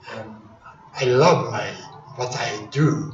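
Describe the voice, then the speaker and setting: Audible room echo and noticeable background noise surround a man speaking with a Japanese accent. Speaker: karate grandmaster. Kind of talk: speech. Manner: halting.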